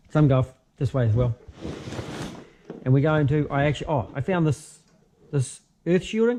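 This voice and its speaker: A man with a New Zealand accent speaks with a fairly high pitch and lively intonation. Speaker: car mechanic. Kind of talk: tutorial. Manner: fast; casual, halting with fillers.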